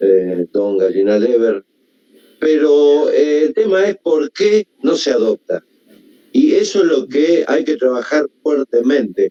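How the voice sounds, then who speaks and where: In a dry, close recording with no echo, a man with a dark, mellow tone speaks at a very slow pace. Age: 70s. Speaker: audience member asking a question. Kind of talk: Q&A comment. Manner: halting, many fillers.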